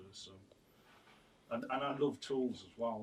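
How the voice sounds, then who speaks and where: A man at a moderate pace, somewhat breathy, with fairly even intonation. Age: 50s. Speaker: artist and printmaker. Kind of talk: radio interview. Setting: radio studio. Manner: halting, many repetitions and fillers.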